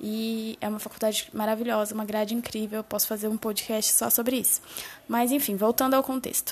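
Against noticeable background noise, a woman speaks with fairly high pitch and monotone, flat intonation. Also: fairly quick pace. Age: 20s. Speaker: digital marketer. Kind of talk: solo podcast monologue. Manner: casual, with many filler words.

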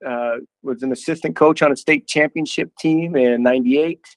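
This man has a fairly high voice with ordinary pitch variation and speaks at a fairly slow pace. The sound is dry and close with no echo, over a quiet background. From northern Idaho. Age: 50s. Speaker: college football head coach. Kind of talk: interview. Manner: halting.

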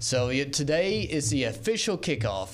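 With a Southern US accent, a man with a fairly high pitch talks in lively intonation over noticeable background noise. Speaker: radio co-host.

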